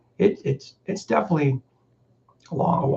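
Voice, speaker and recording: Here a man talks at a moderate pace, fairly high in pitch. His tone is dark, mellow and somewhat breathy. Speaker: farmer and livestream host. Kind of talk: casual livestream chat.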